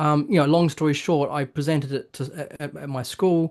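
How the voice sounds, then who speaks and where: Against a quiet background, a man with a New Zealand accent speaks at a moderate pace. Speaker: author. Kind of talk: interview. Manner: halting, with many fillers.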